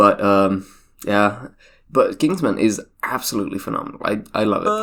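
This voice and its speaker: A man talks with a British accent. His pace is moderate. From Britain. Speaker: YouTuber reacting to own video. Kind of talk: casual commentary. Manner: halting, many fillers.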